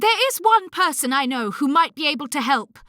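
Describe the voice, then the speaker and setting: A put-on character voice speaks at a high pitch and a moderate pace. The recording is very clean, with a silent background. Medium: read story. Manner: composed, dignified.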